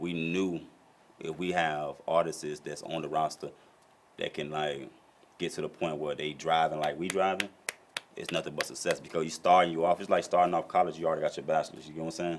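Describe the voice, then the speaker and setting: Over noticeable background noise, a man with a very deep, low pitch speaks at a fairly quick pace in a monotone, flat intonation. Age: 30s. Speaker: rapper and label co-founder. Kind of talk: interview. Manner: casual, streetwise.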